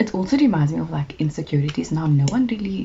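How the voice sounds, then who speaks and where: Over noticeable background noise, a woman with a very deep, low voice speaks at a fairly quick pace with ordinary pitch variation. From South Africa, Cape Town. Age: 20s. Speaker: YouTuber. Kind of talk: casual chat.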